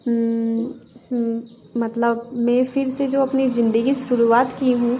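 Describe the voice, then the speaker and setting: A woman with a Bengali accent talks in a high pitch with monotone, flat intonation over noticeable background noise. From West Bengal, India. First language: Bengali (speaking Hindi). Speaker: vlogger. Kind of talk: casual vlog narration. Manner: hesitant with fillers.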